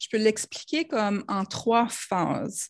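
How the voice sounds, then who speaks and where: A woman with a slight New Brunswick accent speaks at a very slow pace and a fairly high pitch, with ordinary pitch variation. The sound is dry and close with no echo. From New Brunswick, Canada (Acadian). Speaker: Facebook ads consultant. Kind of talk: casual interview.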